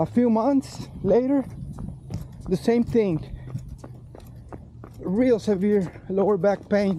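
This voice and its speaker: Speech comes at a very slow pace with long, frequent pauses, against noticeable background noise. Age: 60s. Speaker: fitness vlogger. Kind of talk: personal testimony. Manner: halting.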